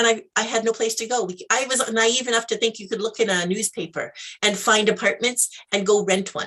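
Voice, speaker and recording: A woman with a western Canadian accent speaks in a fairly high pitch. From Canada, Alberta. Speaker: life mentor, entrepreneur. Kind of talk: interview, personal story. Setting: live video interview.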